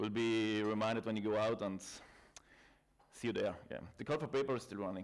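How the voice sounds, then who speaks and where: A man in a South Tyrolean accent, fairly low in pitch, with fairly even intonation, a fairly quick pace and long, frequent pauses. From South Tyrol, northern Italy. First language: German dialect and Italian. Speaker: IT consultant and trainer. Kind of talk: conference talk. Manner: halting, with fillers.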